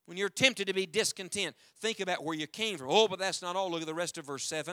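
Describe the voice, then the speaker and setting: With a raised, projected voice, a man speaks high-pitched in a bright, sharp tone with ordinary pitch variation on a very clean recording with a silent background. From US South, West Virginia mountains. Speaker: evangelist preacher. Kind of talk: sermon. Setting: church with congregation.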